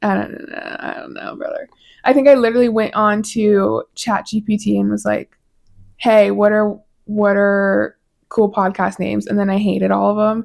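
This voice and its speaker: A woman with an American accent at a moderate pace, loudness swinging widely, on a very clean recording with a silent background. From Colorado. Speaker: podcast host. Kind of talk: casual monologue.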